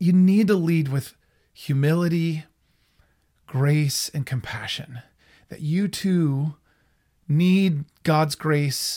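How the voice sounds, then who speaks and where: On a very clean recording with a silent background, a man with a somewhat breathy voice speaks at a very slow pace with ordinary pitch variation. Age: 30s. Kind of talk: faith-based teaching monologue. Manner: halting, frequent repetitions and fillers.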